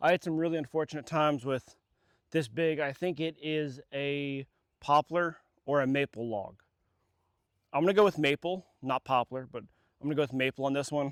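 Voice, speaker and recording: At a moderate pace, a man with a fairly high pitch speaks in a dry, close sound with no echo, on a very clean recording with a silent background. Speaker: chainsaw vlogger. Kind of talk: casual vlog narration. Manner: casual, filler words; loud.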